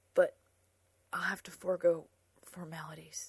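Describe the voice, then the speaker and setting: A female-sounding voice at middle pitch puts on a strained character voice. The pace is moderate. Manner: through gritted teeth, strained.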